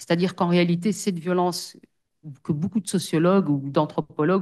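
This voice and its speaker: A woman's fairly low, dark and mellow voice, moderate in pace and fairly even in intonation, over a quiet background. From Belgium, Brussels. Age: 40s. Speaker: social worker. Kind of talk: testimony. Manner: hesitant, many fillers.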